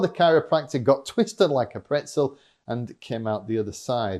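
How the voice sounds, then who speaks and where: With a Yorkshire accent and very wide pitch swings, a man talks in an animated tone at a moderate pace. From Yorkshire, northern England. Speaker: fitness vlogger and motivational speaker. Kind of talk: scripted vlog monologue.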